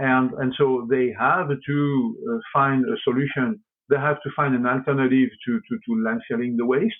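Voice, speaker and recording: With a French accent, a man speaks at a moderate pace in a medium-pitched voice with lively intonation. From France. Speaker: company executive. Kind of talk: interview. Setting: podcast. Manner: halting, many repeated words.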